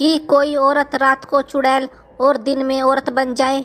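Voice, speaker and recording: Using a cartoonish character voice, a woman speaks at a high pitch. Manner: boastful, comic.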